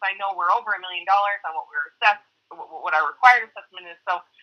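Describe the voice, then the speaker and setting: A woman speaks at a very fast pace. Her tone is bright and sharp. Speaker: town board member. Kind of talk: public meeting discussion. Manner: halting; loud.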